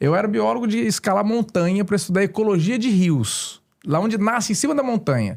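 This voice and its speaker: A man's high-pitched voice has lively intonation and very even loudness. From Brazil, interior of São Paulo state (São José do Rio Preto). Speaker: store owner and licensee, former biologist and dentist. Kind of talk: casual podcast interview.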